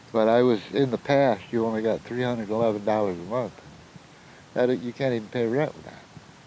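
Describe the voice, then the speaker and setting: There is noticeable background noise behind this speaker. A man talks at a fairly quick pace. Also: medium pitch for a man, fairly even intonation, big swings in loudness. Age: 60s. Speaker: homeless shelter client. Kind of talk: casual interview chat.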